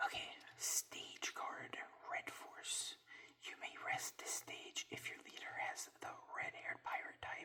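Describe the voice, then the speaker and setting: A man whispers at a very slow pace. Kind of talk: ASMR card unboxing, whispered reading of card text. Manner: soft, whispering.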